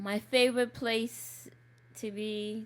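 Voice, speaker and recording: This speaker has a Lesotho accent and ordinary pitch variation. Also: woman. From Lesotho, Southern Africa. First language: Sesotho. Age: 40s. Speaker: community activist. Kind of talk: personal interview. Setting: recorded interview.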